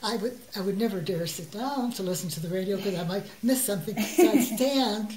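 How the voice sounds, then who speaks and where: A woman's medium-pitched voice with an American accent and ordinary pitch variation, plus noticeable background noise. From Chicago. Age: 80s+. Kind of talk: interview answer.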